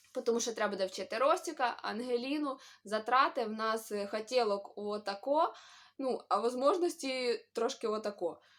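In an animated tone with lively intonation, a woman speaks at a moderate pace. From Ukraine, Khmelnytskyi. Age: 20s. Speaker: vlogger, mother. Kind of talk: casual vlog Q&A. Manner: chatty, animated.

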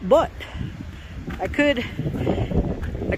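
Noticeable background noise sits under the speech. The pace is fairly slow, and the sound is dry with no echo. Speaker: hiking vlogger. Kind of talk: casual vlog chat. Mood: amused, self-mocking. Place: open country. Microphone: phone near.

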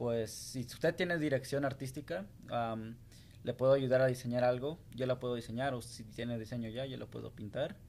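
Medium pitch from a man, fairly even intonation, big swings in loudness, and a moderate pace. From Salt Lake City, Utah (born in Guanajuato, Mexico). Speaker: graffiti artist and business owner. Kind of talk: interview. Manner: hesitant, many fillers. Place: studio. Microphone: studio mic.

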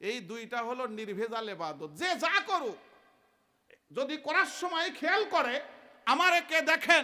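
A man speaks in an extremely high pitch with a bright, sharp tone and very wide pitch swings. His voice is raised and projected, with an animated tone. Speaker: Islamic preacher. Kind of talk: sermon. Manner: animated, call-and-response with audience.

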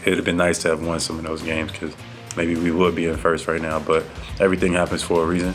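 Over clear music in the background, a man speaks at a very fast pace in a very deep, low pitch with monotone, flat intonation. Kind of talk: interview answer. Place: meeting room. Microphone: podium.

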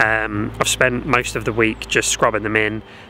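A man with a plain, everyday voice talks at a moderate pace. There is light background noise. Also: dry sound with no echo. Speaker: car owner vlogger. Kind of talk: casual vlog chat. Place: forest. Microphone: phone near.

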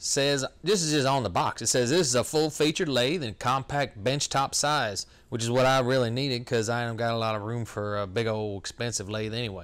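A man speaks at a fairly quick pace with hardly any pauses. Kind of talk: casual vlog chat. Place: workshop.

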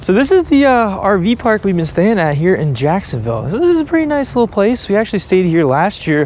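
Against light background noise, a man speaks with lively intonation at a fairly quick pace in a dry sound with no echo. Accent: American. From Delaware, US. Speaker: fishing YouTuber. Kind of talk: casual vlog narration. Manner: animated. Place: open country. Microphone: phone near.

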